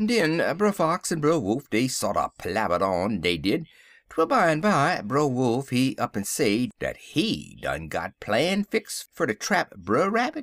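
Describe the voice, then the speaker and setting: A man with a fairly high pitch and vocal fry speaks at a fairly slow pace, his pitch swinging very widely while his loudness stays very even. The recording is very clean, with a silent background and a dry, close sound with no echo. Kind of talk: audiobook reading of a folktale with dialect voices.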